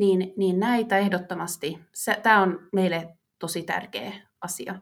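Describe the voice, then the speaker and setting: Her intonation fairly even, a woman is speaking. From Finland, Vaasa. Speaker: marketing manager. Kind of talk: interview.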